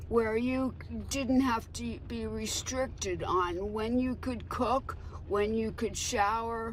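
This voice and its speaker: Room echo can be heard as the words come out very slowly. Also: woman. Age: 70s. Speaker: utility customer and petition creator. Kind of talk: news interview.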